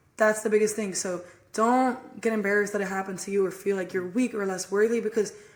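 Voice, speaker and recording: The woman rushes along at a very fast pace while noticeable background noise fills the clip. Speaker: podcast co-host sharing abuse story. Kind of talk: testimony. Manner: flat, numb-sounding.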